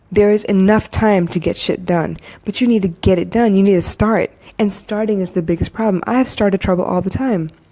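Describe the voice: Speaking at a fairly quick pace, a woman uses a medium pitch and fairly even intonation, her tone dark and mellow.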